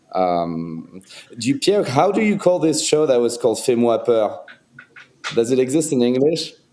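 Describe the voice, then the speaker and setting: With a French accent, a man speaks at a moderate pace and a medium pitch, his loudness very even while his pitch swings very widely. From France. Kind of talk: casual chat. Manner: halting.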